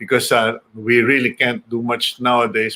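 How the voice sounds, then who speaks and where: A man's bright, sharp voice at a medium pitch. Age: 60s. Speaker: news show host. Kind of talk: casual monologue. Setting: broadcasting from home. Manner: halting.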